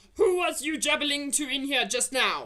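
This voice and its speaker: A put-on character voice delivers the lines at a moderate speed. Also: woman, high pitch for a woman. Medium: read story. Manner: loud, bullying, mangled grammar.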